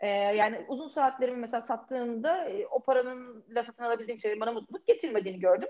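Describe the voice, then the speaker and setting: Her pace is very fast and her intonation lively. This woman speaks with a high pitch. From Turkey, Karabük then Istanbul. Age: 30s. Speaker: podcaster and former dentist. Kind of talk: podcast interview.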